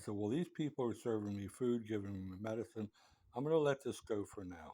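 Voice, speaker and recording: A man with a fairly low pitch and a dark, mellow tone speaks with ordinary pitch variation. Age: 70s. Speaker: patient telling his story. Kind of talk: personal account monologue. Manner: conversational.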